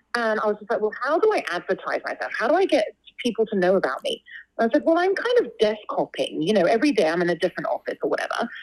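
A woman with a London accent. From London, England. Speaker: opera singer. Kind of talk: casual interview chat.

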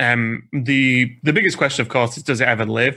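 A man's bright, sharp voice at medium pitch, fairly quick pace and fairly even intonation, on a very clean recording with a silent background. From UK. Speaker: Hearthstone caster. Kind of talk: casual chat.

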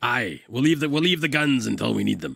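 Here a man puts on a character voice that sounds raspy. He keeps a medium pitch and a moderate pace. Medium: actual play. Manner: blustering, slow-witted.

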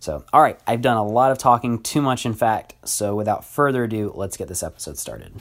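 A man with an American accent speaks in a plain, everyday voice at a fairly quick pace with hardly any pauses. His medium pitch shows ordinary variation, and the recording is very clean with a silent background. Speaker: podcast host and teacher. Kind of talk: casual podcast monologue. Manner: frequent fillers like uh and um.

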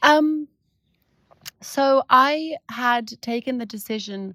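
Recorded very cleanly against a silent background, a woman with a London accent speaks with lively intonation in a dry, close sound with no echo. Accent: southern English (London). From London, England. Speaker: tour guide and business founder. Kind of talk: casual interview chat. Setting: outdoors. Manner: hesitant, many fillers.

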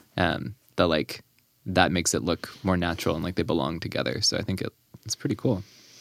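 Delivered at a very fast pace with vocal fry and ordinary pitch variation, the speech is recorded dry and close, with no echo. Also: man, very deep, low pitch for a man. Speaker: podcast host. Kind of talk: casual interview chat. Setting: studio.

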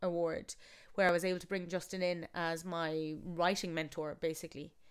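The very clean recording has a silent background, and a woman speaks at a fairly quick pace with a Galway accent. Her pitch is fairly low and her intonation fairly even. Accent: Irish, Galway. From Galway, Ireland. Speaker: theatre maker and actor. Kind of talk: casual interview chat.

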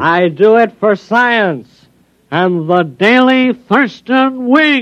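A put-on character voice, nasal and at a very slow pace, delivers the lines. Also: man, high pitch for a man.

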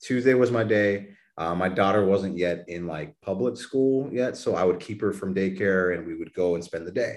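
In an unremarkable speaking voice, a man talks at a moderate pace with hardly any pauses, his fairly low pitch showing ordinary variation. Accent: American. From Texas, New Braunfels. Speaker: fitness coach and weight-loss story guest. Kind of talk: casual interview.

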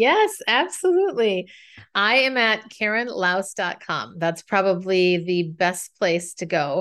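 Against a quiet background, a woman with an American accent uses a normal speaking voice at medium pitch, speaking at a fairly slow pace with ordinary pitch variation. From Minnesota. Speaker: communication coach and speaker. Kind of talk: podcast interview.

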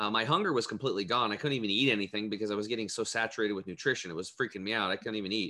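This man's voice sits fairly low in pitch and carries a bright, sharp tone. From US Northwest (Eastern Oregon). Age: 40s. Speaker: health coach. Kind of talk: interview.

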